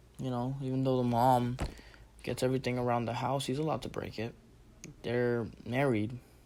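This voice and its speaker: With audible room echo around him, a man speaks in a monotone, flat intonation at a fairly quick pace, broken by long, frequent pauses. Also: medium pitch for a man. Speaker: vlogger. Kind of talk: casual monologue. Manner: halting.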